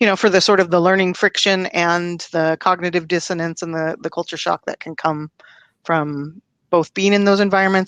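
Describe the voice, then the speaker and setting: A woman with a slight Pacific Northwest accent speaks at a fairly quick pace and a fairly low pitch, in a dry, close sound with no echo and a quiet background. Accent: mild Pacific Northwest. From US Pacific Northwest, Washington state. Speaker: learning and development professional, event founder. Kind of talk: interview conversation.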